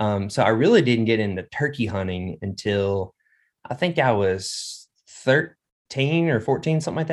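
Speaking with a Southern US accent, a man uses lively intonation at a medium pitch and moderate pace. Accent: US South. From central Arkansas. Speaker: hunter and duck hunting guide. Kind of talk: casual interview chat.

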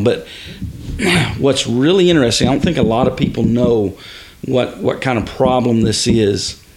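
A man with a Texan accent and a medium pitch, plus noticeable background noise. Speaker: father of host, hunter. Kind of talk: casual chat.

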